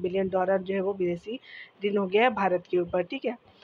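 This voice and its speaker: The speaker is a woman. Her voice is medium in pitch. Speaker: exam prep teacher. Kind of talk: current affairs tutorial. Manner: halting with fillers.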